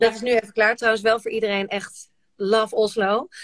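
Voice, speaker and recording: A woman with a plain, everyday voice speaks at a moderate pace and a fairly high pitch, the sound dry and close with no echo. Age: 40s. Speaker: podcast host. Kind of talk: casual chat. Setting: Instagram live video from a shed.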